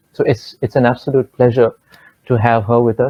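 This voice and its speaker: A man with a Bengali accent, medium pitch and a somewhat breathy voice, at a fairly quick pace. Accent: Indian Bengali English. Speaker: vocalist and festival curator. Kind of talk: formal introduction of guests. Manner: hesitant, many fillers.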